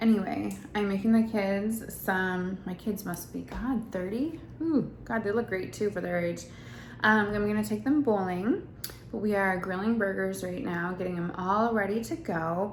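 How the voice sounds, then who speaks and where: A somewhat breathy woman's voice at medium pitch, with ordinary pitch variation, a moderate pace and audible room echo. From Wisconsin, US Midwest. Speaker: family vlogger. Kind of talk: casual vlog talk.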